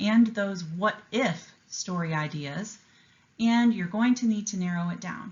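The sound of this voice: The speaker reads in an unforced reading voice.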